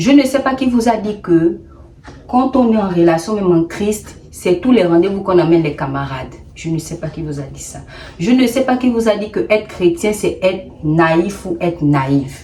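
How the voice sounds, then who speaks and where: An animated woman's voice with a Gabonese accent, medium pitch, lively intonation and big swings in loudness over noticeable background noise. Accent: Gabonese accent, put on deliberately here. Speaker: YouTuber, storyteller. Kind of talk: storytime advice vlog. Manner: animated, emphatic.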